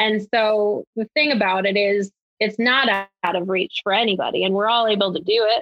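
Speaking at a moderate pace with an American accent, a woman keeps a medium pitch, fairly even intonation and very even loudness. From Connecticut. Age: 30s. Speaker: electrical apprentice. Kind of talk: casual interview.

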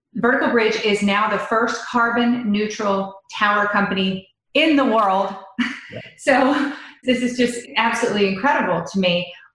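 A woman with a fairly high pitch talks at a moderate pace in an ordinary speaking voice, with ordinary pitch variation. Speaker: podcast host. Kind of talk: casual interview.

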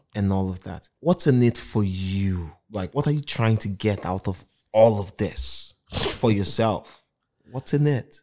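Dark and mellow in tone, a man speaks fairly slowly at fairly low pitch with lively intonation. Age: 30s. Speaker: podcast host. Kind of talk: interview.

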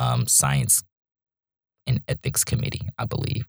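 Using lively intonation, a man with an American accent speaks at a very deep, low pitch with vocal fry, in a dry, close sound with no echo. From North Carolina (Charlotte). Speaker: graduate student, former biology undergraduate. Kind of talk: casual interview. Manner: animated.

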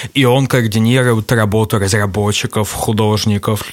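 A man's fairly low voice in a flat monotone. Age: 30s. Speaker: game designer. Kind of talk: casual interview.

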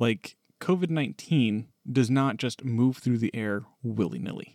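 An unremarkable speaking voice from a man at medium pitch with ordinary pitch variation, at a fairly slow pace, in a dry, close sound with no echo. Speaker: podcast co-host. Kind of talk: casual discussion.

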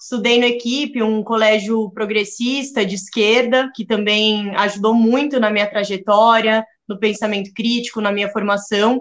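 The speaker is a woman with a fairly high pitch. Her intonation is monotone and flat. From São Paulo, Brazil. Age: 20s. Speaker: political scientist and youth activist. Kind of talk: interview.

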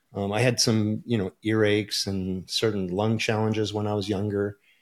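A man with an American accent has an unremarkable speaking voice at a fairly low pitch. He talks at a fairly quick pace with fairly even intonation, on a very clean recording with a silent background. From Michigan, US. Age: 50s. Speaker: supplement company owner and business coach. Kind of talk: interview.

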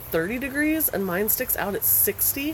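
A woman with an American accent at a very slow pace, with lively intonation and noticeable background noise. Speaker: podcast host. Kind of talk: casual chat. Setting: outdoors. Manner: casual, chatty.

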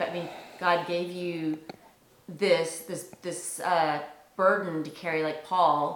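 Over noticeable background noise, a woman speaks very slowly at a fairly low pitch, her intonation flat and monotone. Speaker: interviewer and documentary host. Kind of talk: interview in documentary.

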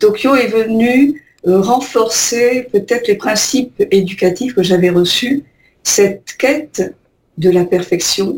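Very slowly and somewhat breathily, a woman speaks at a fairly high pitch with lively intonation. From Algeria. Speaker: painter. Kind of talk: radio interview. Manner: halting.

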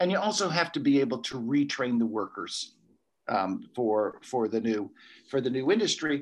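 A man with an American accent speaks at a moderate pace in a plain, everyday voice, his medium pitch showing ordinary variation. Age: 60s. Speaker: ecology professor. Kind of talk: interview.

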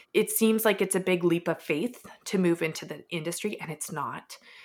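A woman speaks in an ordinary speaking voice with a Canadian accent, at medium pitch and a moderate pace, her intonation fairly even. The recording is very clean, with a silent background. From Edmonton, Canada. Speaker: startup founder. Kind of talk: casual interview.

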